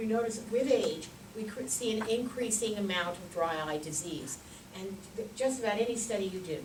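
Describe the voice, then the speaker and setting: A woman with a fairly high pitch speaks at a moderate pace, with ordinary pitch variation. Room echo is audible, and background noise is noticeable. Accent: American. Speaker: ophthalmologist and dry eye researcher. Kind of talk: conference lecture. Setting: podium at conference meeting. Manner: loud; hesitant with frequent fillers.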